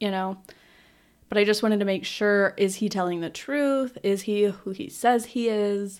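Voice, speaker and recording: On a very clean recording with a silent background, a woman talks at a moderate pace and medium pitch with ordinary pitch variation. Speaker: podcast host. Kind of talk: casual chat. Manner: loud, prone to outbursts.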